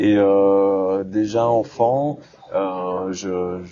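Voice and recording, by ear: The man's voice is fairly low-pitched, with a dark, mellow tone.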